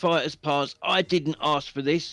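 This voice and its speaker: A man's fairly high-pitched voice with a British accent and fairly even intonation, in a very clean, dry, close recording with a silent background and no echo. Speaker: gaming YouTuber guest. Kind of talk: live stream casual chat.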